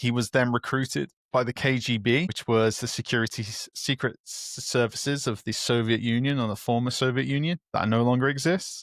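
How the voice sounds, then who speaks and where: A man with a medium-pitched voice talks at a moderate pace, with hardly any pauses and ordinary pitch variation, a plain, everyday voice. The sound is dry and close with no echo, in a very clean recording with a silent background. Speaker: podcast host. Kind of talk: casual podcast talk.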